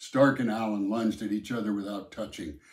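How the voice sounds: Natural reading voice, nothing more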